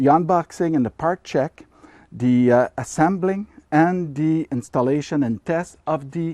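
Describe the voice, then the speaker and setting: A man with a Quebec accent speaks at a moderate pace, his dark, mellow tone pitched fairly high with lively intonation. The background is quiet, and the sound is dry and close with no echo. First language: French. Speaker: ham radio hobbyist youtuber. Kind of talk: casual tutorial. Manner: hesitant, filler-heavy.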